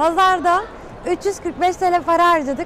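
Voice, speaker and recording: A woman speaks at a very slow pace. The sound is dry with no echo, and there is light background noise. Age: 20s. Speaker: YouTuber. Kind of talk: vlog. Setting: outdoors. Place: shop. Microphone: lapel.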